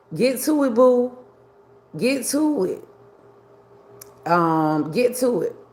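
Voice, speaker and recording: Noticeable background noise sits behind a woman whose high voice swings very widely in pitch as she speaks at a very slow pace with long, frequent pauses. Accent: American. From New York. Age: 60s. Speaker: livestreamer. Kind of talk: casual livestream chat. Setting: live video stream.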